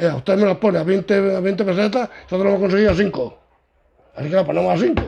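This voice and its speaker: A man talks very fast at a high pitch. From Andalusia, Córdoba province. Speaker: parish priest. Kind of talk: interview. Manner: animated.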